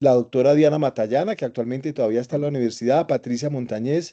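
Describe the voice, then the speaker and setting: A man with a fairly high pitch speaks with ordinary pitch variation and a dark, mellow tone. The background is quiet. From Colombia, Antioquia (paisa region). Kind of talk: interview. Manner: halting, many repetitions and fillers.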